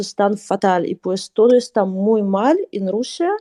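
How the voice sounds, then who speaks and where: With a Russian accent, a woman of medium pitch talks at a fairly slow pace in a dry, close sound with no echo. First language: Russian (speaking Spanish). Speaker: guest expert on Russian culture. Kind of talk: live panel discussion.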